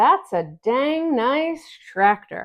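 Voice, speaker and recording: Putting on a character voice, a woman speaks at a high pitch. Her pitch swings very widely. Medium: read story.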